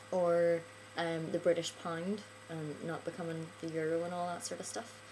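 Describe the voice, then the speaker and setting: A woman with a Northern Irish accent talks at a moderate pace and a fairly low pitch. Noticeable background noise runs under her voice. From Northern Ireland. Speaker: vlogger. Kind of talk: casual video monologue. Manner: hesitant, many filler ums.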